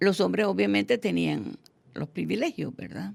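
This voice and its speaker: The voice carries vocal fry. Its pitch swings very widely. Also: woman. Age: 80s+. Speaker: teacher and education researcher. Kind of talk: interview.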